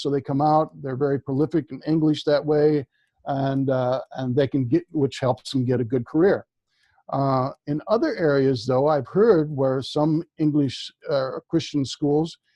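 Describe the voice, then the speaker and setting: Here is a man with a fairly high pitch. He speaks at a fairly slow pace with fairly even intonation. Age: 60s. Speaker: author on Vedic culture. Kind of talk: interview. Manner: halting, with many fillers.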